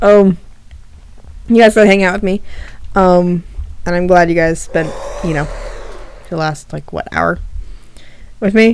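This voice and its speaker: Over noticeable background noise, a woman talks at a medium pitch and moderate pace, with long, frequent pauses. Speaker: streamer. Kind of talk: casual chat. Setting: live stream. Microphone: laptop.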